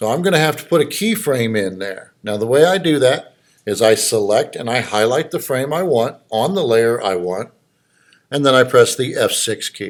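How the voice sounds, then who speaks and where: A man's normal speaking voice at medium pitch, with lively intonation and a moderate pace, on a very clean recording against a silent background. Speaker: college instructor. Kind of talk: lecture. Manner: casual, conversational.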